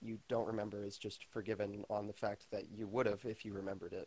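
A man talks quietly at a fairly quick pace. His pitch is fairly low and his intonation fairly even. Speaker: caller, prospective seminarian. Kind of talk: casual chat. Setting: Discord voice call. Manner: quiet mic, apologetic.

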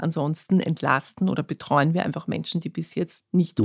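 Here is an ordinary speaking voice: a woman at a fairly low pitch with ordinary pitch variation and a fairly quick pace. The sound is dry and close, with no echo. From Austria, Vienna. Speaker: physician, diabetologist. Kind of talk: interview.

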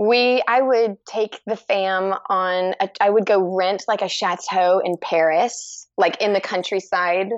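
With a Texan accent, a woman speaks at a very slow pace with hardly any pauses. Her loudness stays very even and her intonation fairly even. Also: medium pitch for a woman. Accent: Texan American English. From Texas, Dallas. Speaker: fiber artist. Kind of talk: casual chat.

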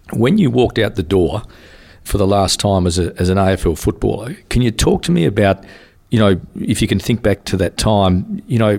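A man's fairly low voice with lively intonation and a fairly quick pace. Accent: Australian. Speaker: podcast host. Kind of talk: interview, casual conversation.

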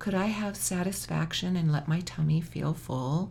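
A woman's somewhat breathy, fairly low-pitched voice at a moderate pace. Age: 60s. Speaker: author and trauma survivor. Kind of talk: interview.

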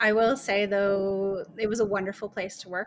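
Speaking at a fairly slow pace, a woman with a Canadian accent uses a normal speaking voice. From Eastern Ontario, Canada. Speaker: lawyer. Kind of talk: interview.

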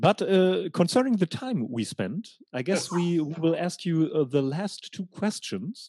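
A man with a high pitch, a dark, mellow tone and a German accent, at a fairly slow pace with hardly any pauses, in a dry, close sound with no echo. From Germany, Hanover. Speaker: podcast host, German teacher. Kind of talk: casual interview conversation. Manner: halting, repeats words.

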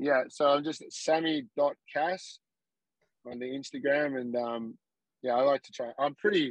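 A man talks at a fairly slow pace with a fairly high pitch and ordinary pitch variation, his loudness swinging a lot. The sound is dry and close, with no echo. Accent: Australian. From Australia. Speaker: Muay Thai fighter. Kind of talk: casual chat. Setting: remote call from the roadside.

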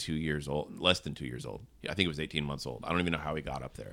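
In a very clean recording with a silent background, a man speaks with a very deep, low pitch and vocal fry. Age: 40s. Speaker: pastor. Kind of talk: casual chat. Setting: studio.

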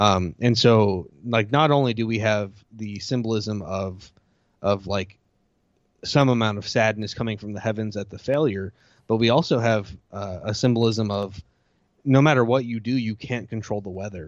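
A man with a plain, everyday voice and an American accent, fairly low in pitch, at a moderate pace, with ordinary pitch variation and big swings in loudness. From US. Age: 30s. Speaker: podcast host. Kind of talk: casual chat.

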